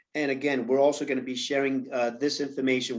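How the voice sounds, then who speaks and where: This man talks with a New York accent. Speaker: panel moderator. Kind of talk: panel discussion. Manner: halting, many fillers.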